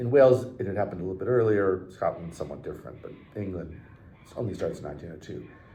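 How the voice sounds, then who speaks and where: In a room with audible echo, a man talks very fast at a fairly low pitch, his tone dark, mellow and somewhat breathy, with lively intonation and big swings in loudness. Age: 60s. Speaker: historian, professor. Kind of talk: interview conversation. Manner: hesitant, many fillers.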